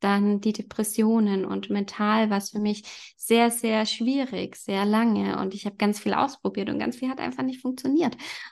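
A woman in a plain, everyday voice, medium pitch, ordinary pitch variation and moderate pace, over a quiet background. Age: 30s. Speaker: yoga teacher. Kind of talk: casual chat.

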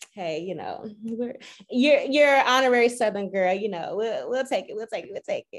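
At a moderate pace, this voice moves through very wide pitch swings and big swings in loudness. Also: woman, high pitch for a woman. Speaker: podcast host. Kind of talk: casual podcast interview.

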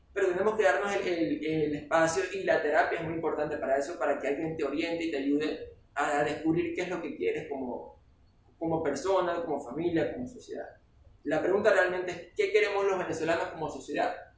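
A man's high voice at a fairly quick pace with ordinary pitch variation, amid noticeable background noise and audible room echo. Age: 40s. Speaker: political scientist and consultant. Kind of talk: casual chat.

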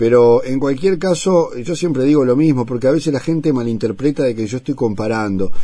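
A man with a Uruguayan accent, ordinary pitch variation and hardly any pauses. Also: medium pitch for a man, fairly quick pace. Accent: Rioplatense Spanish, Uruguayan. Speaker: radio host. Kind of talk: radio interview. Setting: radio studio. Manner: halting, repeats words.

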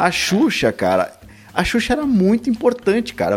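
A man talks over noticeable background noise. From São Paulo, Brazil. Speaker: music podcaster. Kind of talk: casual chat.

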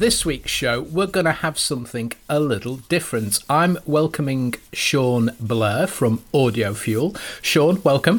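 On a very clean recording with a silent background, a man uses a normal speaking voice at a fairly high pitch, with lively intonation, a fairly slow pace and hardly any pauses. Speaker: podcast host. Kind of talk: interview.

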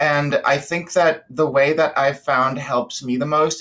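A fairly slow pace in an American accent. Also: man. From Georgia, US South. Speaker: caller. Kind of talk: casual chat.

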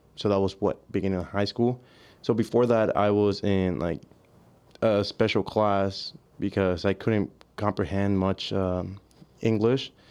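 Speaking with a Spanish accent against a quiet background, a man talks at a fairly slow pace with fairly even intonation and long, frequent pauses. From Mexico, near the border; South Texas. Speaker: college student, diver. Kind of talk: casual chat. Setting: studio.

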